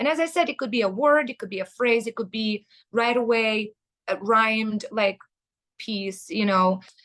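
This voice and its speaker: A woman with a Russian accent, fairly high in pitch, in a dry, close sound with no echo. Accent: Eastern European, Russian-tinged English. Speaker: metal band vocalist. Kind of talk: interview. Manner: hesitant, many fillers.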